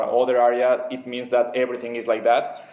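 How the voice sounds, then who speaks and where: A man with a Spanish accent speaks at medium pitch. Background noise is noticeable. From Mexico. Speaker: former government security worker. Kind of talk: opinion monologue. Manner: halting.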